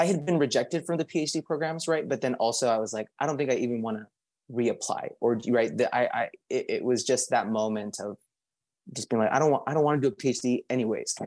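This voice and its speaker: In a plain, everyday voice, a man with a fairly high pitch and ordinary pitch variation talks at a fairly quick pace in a very clean recording with a silent background. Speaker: language access policy coordinator. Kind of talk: panel discussion.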